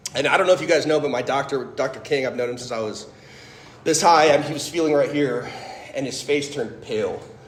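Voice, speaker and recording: A man speaks very fast at a fairly high pitch, with ordinary pitch variation. Audible room echo and noticeable background noise surround his voice. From US Midwest, Fort Wayne, Indiana. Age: 30s. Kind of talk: testimony talk. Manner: animated.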